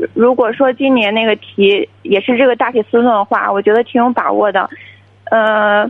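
A woman's fairly high-pitched, ordinary speaking voice at a moderate pace, with very even loudness and ordinary pitch variation. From Shandong. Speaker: university student, caller. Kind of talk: call-in advice conversation.

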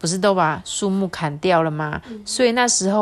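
An unforced reading voice is heard throughout.

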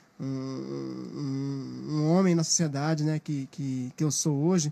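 A man delivers his words very slowly, with background noise clearly present. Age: 30s. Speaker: podcast co-host. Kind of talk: casual interview chat.

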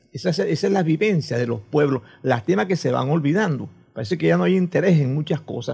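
Talking at a very fast pace, a man with a fairly high pitch, a dark, mellow tone and vocal fry swings very widely in pitch. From Venezuela, Coro (Falcón state). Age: 70s. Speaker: chronicler and retired teacher. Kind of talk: casual interview.

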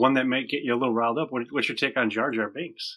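The tone is bright and sharp, in an American accent. The pace is very fast. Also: man. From upstate New York. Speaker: podcaster. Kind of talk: casual chat.

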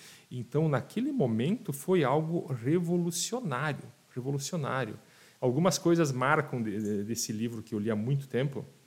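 A man with a fairly high pitch speaks at a moderate pace, his voice somewhat breathy and his intonation lively. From Rio Grande do Sul, Brazil (Passo Fundo area). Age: 40s. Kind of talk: casual interview chat. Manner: halting, repeats words.

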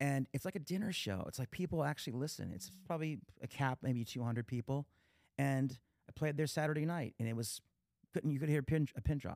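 In an American accent, the speaker talks at a fairly quick pace with ordinary pitch variation, captured in a very clean, dry, close recording with a silent background and no echo. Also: man, fairly high pitch for a man. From Pennsylvania. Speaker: podcast host, talent agent and guitarist. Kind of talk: casual interview chat. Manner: halting, many fillers.

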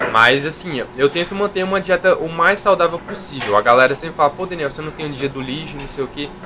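With noticeable background noise, a man speaks at a fairly quick pace with hardly any pauses, a fairly high pitch, ordinary pitch variation and big swings in loudness. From Brazil, interior of Minas Gerais. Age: 20s. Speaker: fitness youtuber and physical education student. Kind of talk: casual interview chat.

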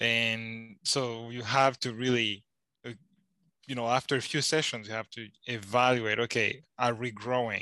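Against a quiet background, a man with a medium pitch and a bright, sharp tone speaks at a fairly slow pace. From Rwanda. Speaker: Bible student. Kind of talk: casual chat.

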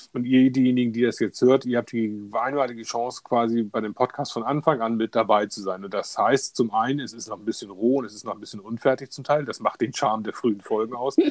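A man's voice at medium pitch, very fast pace. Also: dry, close sound with no echo. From Hamburg, northern Germany. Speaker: podcast co-host, software team lead. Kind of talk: casual chat.

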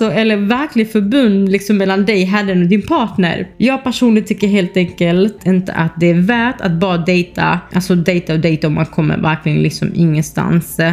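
With noticeable background noise, a woman speaks in a fairly low voice with ordinary pitch variation. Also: hardly any pauses, very even loudness. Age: 20s. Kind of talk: casual monologue.

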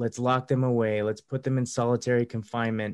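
A man with an American accent, a plain, everyday voice, a medium pitch and fairly even intonation. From USA. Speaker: podcast host and counselor. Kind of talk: casual interview conversation. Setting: indoors.

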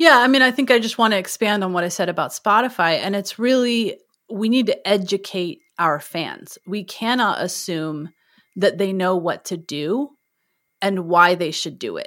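A woman with an unremarkable speaking voice talks at a medium pitch and a moderate pace with lively intonation, on a very clean recording with a silent background. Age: 40s. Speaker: music educator and podcast host. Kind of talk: interview conversation.

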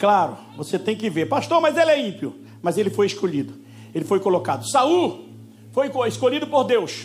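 Music plays in the background, and the voice swings very widely in pitch. There is audible room echo. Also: man, high pitch for a man, moderate pace. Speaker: pastor. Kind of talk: sermon. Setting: church. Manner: animated.

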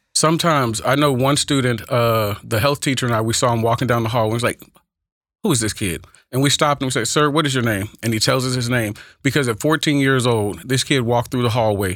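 Someone with an American accent talks at a very fast pace, with very even loudness. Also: man, medium pitch for a man, ordinary pitch variation, very clean recording, silent background. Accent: Texas twang with Oakland flavor. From California, later Texas. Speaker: high school speech and debate teacher. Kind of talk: casual interview. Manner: animated.

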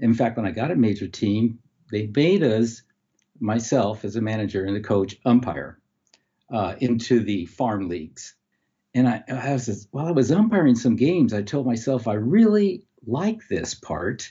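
A man speaks at a medium pitch. His intonation is lively and his voice somewhat breathy. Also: moderate pace. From California, US. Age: 70s. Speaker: veteran baseball umpire, retired teacher. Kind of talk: casual interview, storytelling.

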